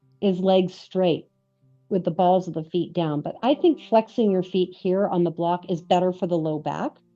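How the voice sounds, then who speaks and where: Music plays in the background as a woman speaks at a moderate pace. Her medium-pitched voice has a relaxed tone. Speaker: yoga teacher. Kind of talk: guided yoga class. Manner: relaxed, conversational.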